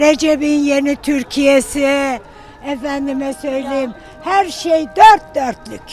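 A woman's high voice at a very slow pace, with ordinary pitch variation and music playing in the background. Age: old. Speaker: pensioner, widow. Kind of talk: street interview answer. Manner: outspoken, bold.

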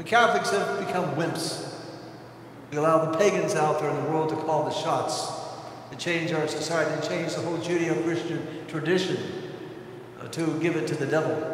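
Monotone, flat delivery at a moderate pace with long, frequent pauses, strong room echo and light background noise. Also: man, fairly high pitch for a man. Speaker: priest giving homily. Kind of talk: homily urging the congregation to act. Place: church. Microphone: podium.

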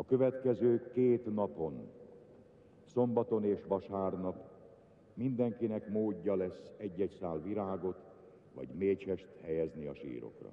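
Very slowly, with long, frequent pauses, a man speaks in a fairly low voice with a solemn tone and lively intonation. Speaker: funeral broadcast announcer. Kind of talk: solemn live funeral broadcast, formal announcement read aloud. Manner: formal, slow, measured and solemn, with grave dignified delivery.

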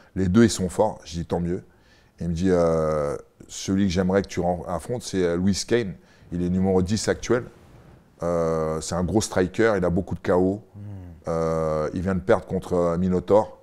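A man speaks in a very deep, low pitch with a dark, mellow tone and fairly even intonation. He goes at a fairly slow pace with long, frequent pauses against a quiet background. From France and England (Paris region, lived in England 6 to 14); France. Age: 40s. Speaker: former MMA fighter, co-host; co-host. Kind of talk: casual chat. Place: home room. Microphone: lapel.

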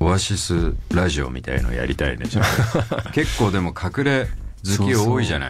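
Music plays in the background as a man talks at a fairly quick pace, with very wide pitch swings. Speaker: radio host. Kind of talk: radio talk show. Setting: studio. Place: studio.

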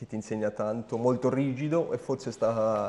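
Here a man talks with fairly even intonation. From Germany, German mother and Sardinian father. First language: German (speaking Italian). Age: 30s. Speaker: jockey and horse trainer. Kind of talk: interview. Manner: hesitant, with repetitions.

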